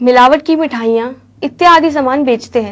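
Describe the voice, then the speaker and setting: A woman at a high pitch with fairly even intonation and a moderate pace, against a quiet background. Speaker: news presenter. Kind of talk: news report. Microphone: lapel.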